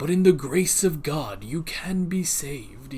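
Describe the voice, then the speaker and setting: A put-on character voice is delivered at a moderate pace and a middle pitch. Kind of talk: preaching. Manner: sermonizing.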